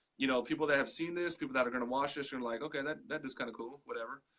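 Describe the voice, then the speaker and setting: The man's voice is loud, with a bright, sharp tone. His pitch is fairly high and varies in an ordinary way. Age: 30s. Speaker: digital marketing entrepreneur. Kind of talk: casual interview. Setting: live video call. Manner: animated.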